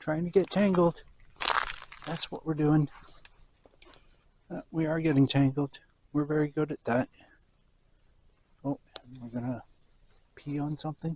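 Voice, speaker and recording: A soft-spoken man, fairly high in pitch, at a moderate pace with fairly even intonation and long, frequent pauses, in a dry, close sound with no echo. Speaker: vlogger. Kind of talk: casual walking vlog. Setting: outdoors walking dog on beach.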